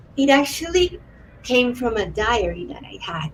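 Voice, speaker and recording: At a fairly slow pace, a woman with a Spanish accent and a fairly high pitch talks with lively intonation. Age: 30s. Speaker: author-illustrator and art therapist. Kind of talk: interview conversation. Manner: halting.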